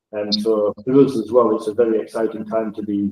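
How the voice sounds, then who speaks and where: A man with a Northern English accent talks at a fairly quick pace and a fairly low pitch. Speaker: project data manager presenting software. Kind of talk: webinar presentation. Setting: video call.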